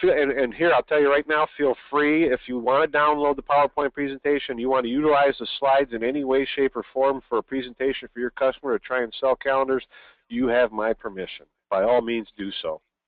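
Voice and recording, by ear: At a fairly quick pace, a man speaks at a medium pitch with fairly even intonation, in a dry, close sound with no echo.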